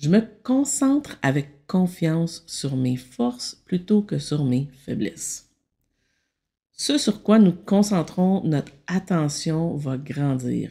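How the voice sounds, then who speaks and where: Very slowly and in a calm tone, a woman speaks at a fairly low pitch in a dark, mellow, somewhat breathy voice with very wide pitch swings, captured in a very clean recording with a silent background. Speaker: meditation guide and consultant. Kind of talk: self-help talk.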